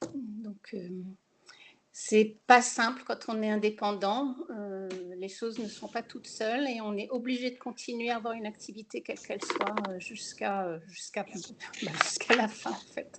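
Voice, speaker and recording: The speaker moves at a fairly slow pace with fairly even intonation but big swings in loudness. Noticeable background noise runs underneath. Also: woman, fairly high pitch for a woman. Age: 60s. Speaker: self-employed architect, webinar participant. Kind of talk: personal testimony in a webinar. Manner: hesitant, many fillers.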